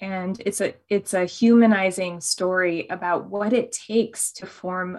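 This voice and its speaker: With a plain, everyday voice, a woman speaks at a medium pitch and a fairly slow pace on a very clean recording with a silent background. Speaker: author and labor organizer.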